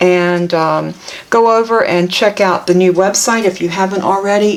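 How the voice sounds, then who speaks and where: With a Southern US accent, a woman speaks at a fairly slow pace and medium pitch with ordinary pitch variation over noticeable background noise. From US South. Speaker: papercraft product demonstrator. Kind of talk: tutorial. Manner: casual, chatty.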